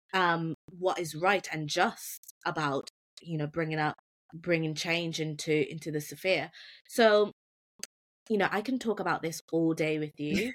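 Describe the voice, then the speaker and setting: A woman uses a normal speaking voice at a moderate pace with ordinary pitch variation. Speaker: podcast host. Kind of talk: interview, conversational.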